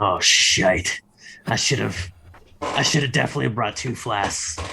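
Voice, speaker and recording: Putting on a raspy character voice, a man speaks at a medium pitch with very wide pitch swings. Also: moderate pace. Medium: actual play. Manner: gruff, grumbling.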